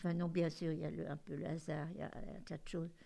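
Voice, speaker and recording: With vocal fry in a dark, mellow tone, a woman speaks at a fairly slow pace and a fairly low pitch. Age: 80s+. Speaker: grandmother. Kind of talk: interview. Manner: halting.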